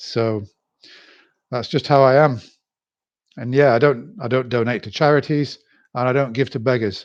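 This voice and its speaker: The speaker has a British accent and a moderate pace. Intonation is fairly even, broken by long, frequent pauses. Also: man, medium pitch for a man. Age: 60s. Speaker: YouTuber. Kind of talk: live stream monologue. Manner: halting.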